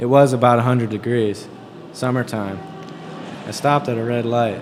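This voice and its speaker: Music plays in the background as a man talks at a moderate pace. His pitch is medium and his intonation fairly even. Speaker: author reading own novel. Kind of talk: spoken word reading with music.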